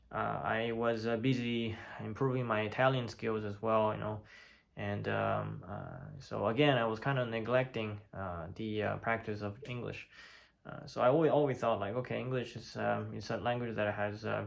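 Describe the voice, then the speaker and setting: At a moderate pace, a man with a Chinese accent speaks in a fairly low voice with ordinary pitch variation. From China. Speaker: polyglot. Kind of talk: casual talk to camera. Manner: hesitant, many fillers.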